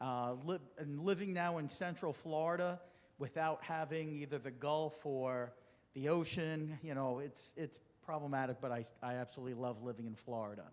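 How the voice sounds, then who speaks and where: Speaking at a moderate pace with a New Jersey accent, a man with a fairly high voice uses ordinary pitch variation. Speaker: senior care executive. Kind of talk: informal talk to residents.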